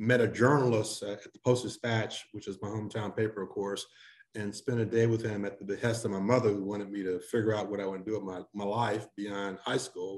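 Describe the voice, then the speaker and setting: In an American accent, a normal speaking voice moves at a fairly quick pace with fairly even intonation. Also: man. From St. Louis, Missouri. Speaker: newspaper editor. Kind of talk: interview.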